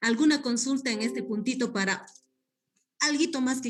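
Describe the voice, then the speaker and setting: The voice belongs to a woman and is somewhat breathy. Her intonation is lively. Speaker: guest lecturer on community development. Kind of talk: online class lecture. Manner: hesitant, many fillers.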